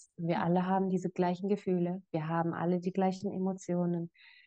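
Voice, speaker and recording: At a moderate pace, a woman talks in a normal speaking voice of medium pitch. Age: 20s. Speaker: life coach. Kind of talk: casual chat.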